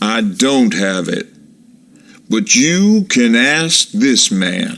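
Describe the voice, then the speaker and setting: Using a put-on character voice, a man at medium pitch crawls along at a very slow pace with very wide pitch swings. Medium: read story. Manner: guarded.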